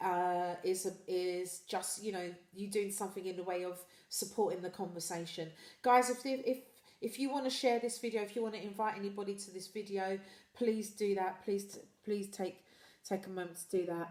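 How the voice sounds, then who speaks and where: At a moderate pace, a woman with a British accent talks at a medium pitch and with fairly even intonation. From UK. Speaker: livestream host. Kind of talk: live stream chat reading viewer comments. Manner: halting with repetitions.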